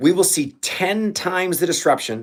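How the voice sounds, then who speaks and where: An animated man with an American accent and lively intonation. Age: 60s. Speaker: leadership coach. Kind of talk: motivational livestream talk. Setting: livestream.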